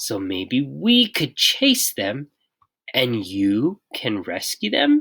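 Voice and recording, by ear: Put-on character voice from a woman, extremely low-pitched with very wide pitch swings, a slightly husky edge and a fairly bright tone, at a very slow pace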